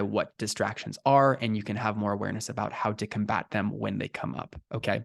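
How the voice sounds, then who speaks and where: Against a quiet background, a man speaks at medium pitch in an energetic tone. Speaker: life coach. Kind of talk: recorded coaching session. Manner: fast.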